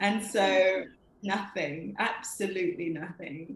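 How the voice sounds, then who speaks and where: A woman with a London accent, medium in pitch and at a fairly slow pace. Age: 20s. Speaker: poet. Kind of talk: interview. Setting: video call.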